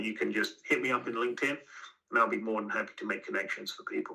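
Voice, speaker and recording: A man speaks with an English accent. His pace is very fast. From southern England (Aylesbury, Buckinghamshire). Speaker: company CEO. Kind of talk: podcast interview.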